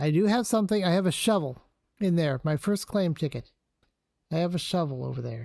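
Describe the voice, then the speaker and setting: The fairly quick speech comes in a very clean recording with a silent background. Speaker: game streamer. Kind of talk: live gameplay commentary. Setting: live stream.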